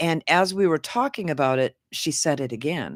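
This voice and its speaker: On a very clean recording with a silent background, a woman speaks at a moderate pace with ordinary pitch variation. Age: 60s. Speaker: podcast host. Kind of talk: casual chat. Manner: halting, many fillers.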